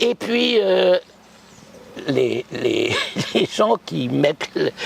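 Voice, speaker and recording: A man's voice, dry and close with no echo, amid noticeable background noise. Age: 80s+. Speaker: psychic. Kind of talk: interview storytelling. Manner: animated.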